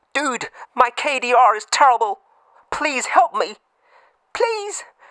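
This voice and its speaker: A man projects a raised put-on character voice. His pitch is extremely high, and his pace is fairly slow. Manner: pleading, tearful.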